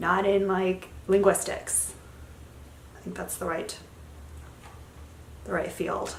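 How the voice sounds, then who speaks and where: A woman at a fairly slow pace, with audible room echo and noticeable background noise. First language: Spanish. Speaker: beauty vlogger. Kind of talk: product review. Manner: casual, chatty.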